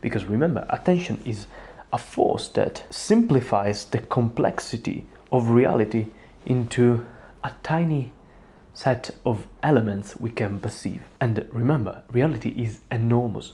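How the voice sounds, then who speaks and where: Somewhat breathy and dark, mellow in tone, the voice moves at a fairly slow pace with an Italian accent. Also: man, medium pitch for a man, ordinary pitch variation. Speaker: psychology content creator. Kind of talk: self-help talk to camera.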